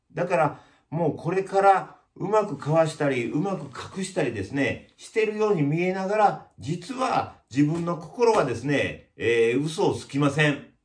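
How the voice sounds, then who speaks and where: Speaking at a moderate pace, a man uses lively intonation. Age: 50s. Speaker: YouTuber, village chief of lifestyle community; channel host. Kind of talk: casual vlog monologue. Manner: many hesitation fillers. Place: shop.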